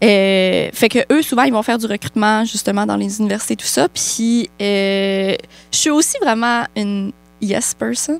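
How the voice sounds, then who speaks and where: A woman with a Quebec accent speaks at a fairly high pitch. The sound is dry and close, with no echo. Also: ordinary pitch variation, fairly slow pace. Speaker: podcast co-host. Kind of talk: casual chat.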